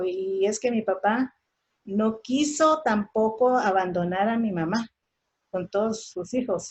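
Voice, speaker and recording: A woman speaks with a Guatemalan accent. Her voice is somewhat breathy, with ordinary pitch variation. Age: 60s. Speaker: daughter of a railway union leader, conference speaker. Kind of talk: oral history testimony. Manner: halting, repetitive.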